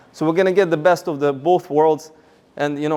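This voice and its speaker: A man's fairly high-pitched voice in a Russian accent, with fairly even intonation. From Russia, Moscow. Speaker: rabbi and seminar speaker. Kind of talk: seminar talk.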